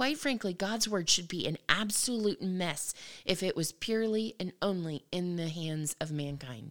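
A woman with an ordinary speaking voice talks at a moderate pace and a medium pitch, with lively intonation. The recording is very clean, with a silent background. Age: 40s. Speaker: podcast host, Bible teacher. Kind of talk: solo religious teaching talk. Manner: casual with frequent fillers.

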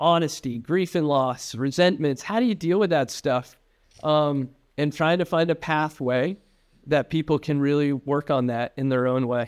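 In an unremarkable speaking voice, a man talks at a moderate pace and fairly high pitch with ordinary pitch variation against a quiet background. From upstate New York. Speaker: addiction treatment executive. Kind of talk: interview.

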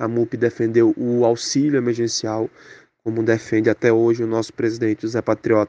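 Against a quiet background, a man with a Pernambuco accent speaks in a monotone, flat way with a dark, mellow tone and a dry, close sound with no echo. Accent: Pernambuco Brazilian Portuguese. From Pernambuco, Brazil (Zona da Mata Sul). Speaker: communications professional, former student. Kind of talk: interview testimony. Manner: casual, with repeated fillers.

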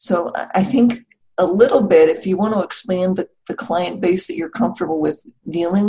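Delivered at a fairly quick pace, the voice has a dark, mellow tone, vocal fry and lively intonation. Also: woman. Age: 50s. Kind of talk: casual interview.

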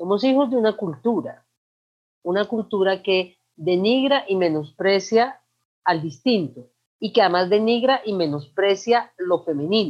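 A woman's medium-pitched voice, an unremarkable speaking voice, at a fairly slow pace with lively intonation. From Colombia, Manizales. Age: 40s. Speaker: LGBTI activist. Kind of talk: interview. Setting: video call.

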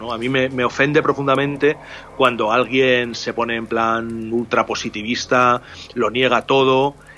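Against noticeable background noise, a man with a Castilian accent speaks with fairly even intonation. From Spain, Salamanca. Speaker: illustrator and writer, former art professor. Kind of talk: interview, storytelling. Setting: remote call from home. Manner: halting, many repeated words.

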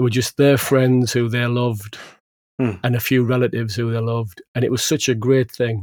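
A man with a northern English accent, medium pitch, fairly quick pace, and flat, monotone intonation. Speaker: podcast host, maker. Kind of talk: casual chat. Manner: jokey.

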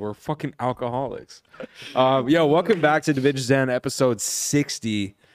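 An unremarkable speaking voice, a man's at medium pitch, moves at a moderate pace with ordinary pitch variation, the sound dry and close with no echo. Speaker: podcast host. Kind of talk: casual podcast chat.

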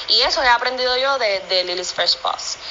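A high-pitched woman at a moderate pace with lively intonation over noticeable background noise. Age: 30s. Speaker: professional dancer and pet product maker. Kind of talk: interview.

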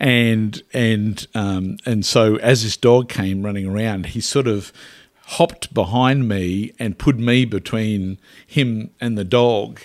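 A man with an Australian accent talks at a very slow pace in a fairly low pitch. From rural Queensland, Australia. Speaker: author. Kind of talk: interview. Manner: halting.

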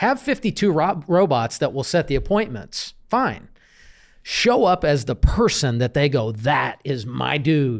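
This man's voice has vocal fry. Very wide swings run through his pitch. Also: fairly high pitch for a man, fairly slow pace, very clean recording, silent background. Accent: American. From Kansas City, US Midwest. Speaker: real estate business coach. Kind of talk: interview. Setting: studio, in person.

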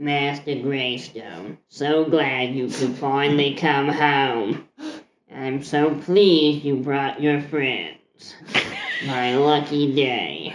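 In a put-on character voice, a man speaks at a very slow pace with a fairly high pitch, sounding strained and gravelly. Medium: actual play. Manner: dry, off-putting, sullen.

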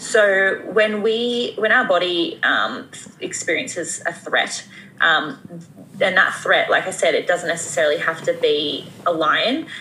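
A woman speaks at a fairly slow pace with very even loudness amid noticeable background noise. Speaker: women's health expert, YouTuber. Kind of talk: casual interview chat.

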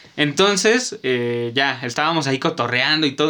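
On a very clean recording with a silent background, a man with a fairly high pitch and a bright, sharp tone speaks at a fairly slow pace. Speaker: podcast co-host. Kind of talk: casual chat.

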